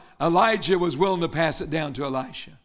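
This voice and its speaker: A man speaks in a raised, projected voice. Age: 60s. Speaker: pastor. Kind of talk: sermon. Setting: church.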